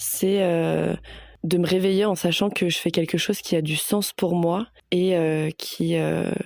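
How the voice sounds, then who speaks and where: At a very slow pace, a woman speaks in a fairly low pitch with fairly even intonation. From Paris suburbs, France. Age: 20s. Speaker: sustainability manager. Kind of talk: interview testimony. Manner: hesitant, many fillers.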